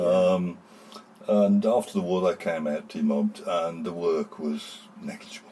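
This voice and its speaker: A man talks with a West Midlands accent. Background noise is noticeable. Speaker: town crier. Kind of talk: interview answer.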